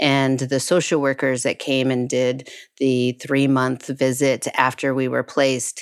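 A woman with a very deep, low pitch and an American accent. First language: Spanish (lost in childhood). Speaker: international adoptee. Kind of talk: interview testimony.

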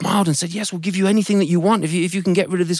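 Natural-voiced reading aloud, its intonation fairly even.

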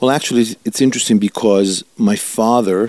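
A man speaks with an Italian accent in a dark, mellow tone. His pace is fairly quick and his intonation fairly even. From Italy, Milan. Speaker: rabbi. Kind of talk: interview.

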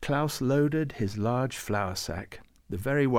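Ordinary pitch variation in plain reading aloud

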